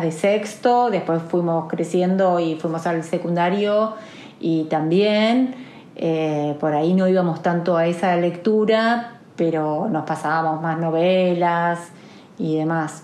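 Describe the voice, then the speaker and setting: A woman's fairly low voice at a very slow pace, ordinary pitch variation, noticeable background noise and audible room echo. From Argentina, Olavarría (Buenos Aires province). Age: 40s. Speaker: interviewee. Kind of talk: interview.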